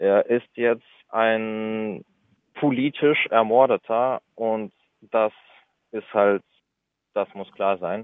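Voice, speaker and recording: Speaking very slowly with long, frequent pauses, a man keeps a medium pitch and fairly even intonation. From Russia, St. Petersburg; moved to Germany as a child. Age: 20s. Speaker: activist, university student. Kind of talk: interview. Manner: halting.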